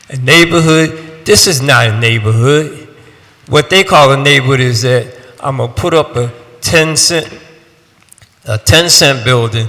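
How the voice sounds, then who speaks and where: Speaking at a fairly slow pace, a man leaves long, frequent pauses. His pitch is fairly high with ordinary pitch variation. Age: 60s. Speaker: resident giving public testimony. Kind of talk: public testimony. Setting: city council hearing. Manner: animated.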